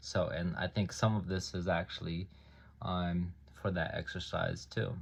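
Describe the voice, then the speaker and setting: At a fairly slow pace, a man with a very deep, low pitch sounds somewhat breathy and keeps his intonation fairly even. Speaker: self-published author. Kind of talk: reading aloud own book; casual talk to camera. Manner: hesitant, many ums.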